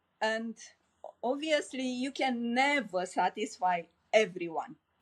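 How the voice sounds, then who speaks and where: A woman speaks at a fairly slow pace with a Romanian accent. Her fairly high voice has lively intonation. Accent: Romanian accent, noticeable. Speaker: life coach. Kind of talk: podcast interview.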